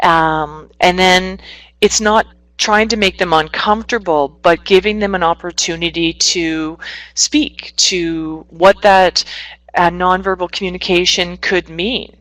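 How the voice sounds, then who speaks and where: In a plain, everyday voice, the speech goes at a fairly slow pace with fairly even intonation and a dry, close sound with no echo. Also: woman, fairly low pitch for a woman. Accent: Canadian. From Northwestern Ontario, Canada. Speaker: psychotherapist. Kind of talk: webinar presentation.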